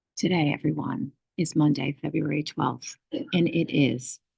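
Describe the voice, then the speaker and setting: A woman whispering, dry and close with no echo. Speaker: school morning announcements host. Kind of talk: school morning announcements. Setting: school library. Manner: whispering a little.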